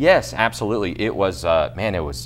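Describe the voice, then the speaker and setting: With music in the background, a man talks using lively intonation. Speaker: auctioneer, international auctioneer champion. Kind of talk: interview answer, explanatory talk. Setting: news interview.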